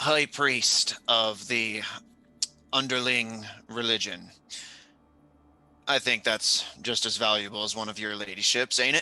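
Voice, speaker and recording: A man in a put-on character voice at medium pitch, fairly slow pace, with long, frequent pauses. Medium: actual play. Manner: gruff, coarse.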